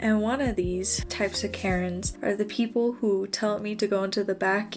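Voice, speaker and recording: Monotone, flat intonation runs over music in the background. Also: woman. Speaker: college student. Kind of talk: storytime voice-over. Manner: casual, conversational.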